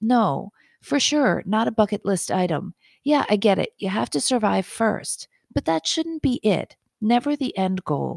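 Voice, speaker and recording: A woman with vocal fry speaks at a fairly slow pace, her pitch swinging very widely. The very clean recording has a dry, close sound with no echo and a silent background. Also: medium pitch for a woman. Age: 50s. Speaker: physician and podcast host. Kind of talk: scripted monologue.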